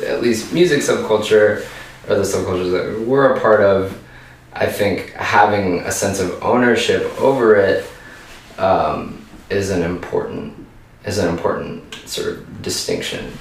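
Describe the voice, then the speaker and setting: A man with an American accent at a fairly slow pace, amid noticeable background noise and audible room echo. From US South, Richmond, Virginia. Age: 30s. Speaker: punk band vocalist. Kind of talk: interview.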